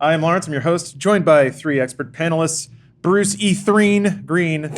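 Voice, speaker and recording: A man with a high pitch speaks at a moderate pace, using ordinary pitch variation. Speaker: podcast host. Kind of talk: casual chat. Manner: stutters when improvising.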